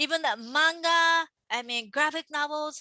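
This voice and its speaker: Against a quiet background, a woman speaks very slowly with a Japanese accent, the sound dry and close with no echo. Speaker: manga artist. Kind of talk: casual chat. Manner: animated.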